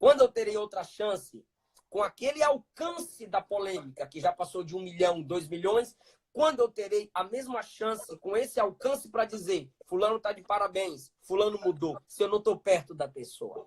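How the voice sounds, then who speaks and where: Speaking at a moderate pace in a high pitch, a man sounds animated with lively intonation, the sound dry and close with no echo. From Brazil, Bahia (Ilhéus). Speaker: pentecostal preacher. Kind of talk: interview.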